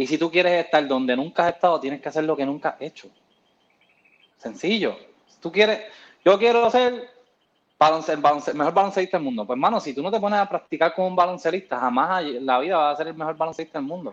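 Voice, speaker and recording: A man's fairly high voice at a very fast pace, lively intonation and big swings in loudness. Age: 30s. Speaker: CrossFit coach. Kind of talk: casual chat.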